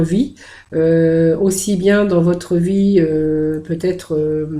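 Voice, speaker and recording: A woman's fairly low, dark and mellow voice, very slow and fairly even in intonation, with audible room echo. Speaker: tarot card reader. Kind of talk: tarot reading video. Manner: halting, many hesitations.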